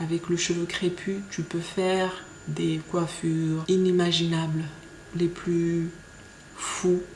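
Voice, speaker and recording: A woman with a Mayotte accent, fairly low in pitch, monotone and flat, at a very slow pace with long, frequent pauses. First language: Shimaore (speaking French). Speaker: beauty vlogger. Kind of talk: casual vlog. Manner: hesitant, many fillers.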